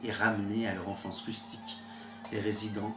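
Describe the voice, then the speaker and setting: Music plays in the background as a man talks. His pitch is medium, and his pace is moderate. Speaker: author reading own work. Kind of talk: audiobook short story reading. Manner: quiet, late-night delivery.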